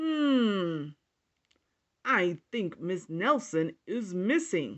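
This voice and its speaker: A put-on character voice, female-sounding and middle-pitched, very slow, with very wide pitch swings. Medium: read story. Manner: slow, musing.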